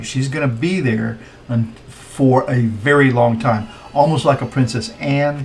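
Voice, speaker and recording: Speaking with an American accent, a man talks at a medium pitch and a fairly slow pace. His pitch varies in an ordinary way, and noticeable background noise runs underneath. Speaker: tarot reader. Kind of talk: tarot reading commentary. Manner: hesitant, many fillers; casual, chatty.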